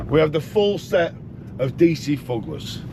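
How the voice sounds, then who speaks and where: A man with a Yorkshire accent speaks at a fairly high pitch with very wide pitch swings, and there is noticeable background noise. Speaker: truck driver vlogger. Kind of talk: casual vlog talk. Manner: animated.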